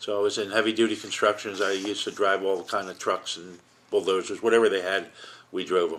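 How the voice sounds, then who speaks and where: A man with an American accent, fairly low pitch, monotone flat intonation, a very fast pace and big swings in loudness. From Philadelphia, Pennsylvania. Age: 70s. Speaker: Navy veteran. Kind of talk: oral history interview. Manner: hesitant, many filler words.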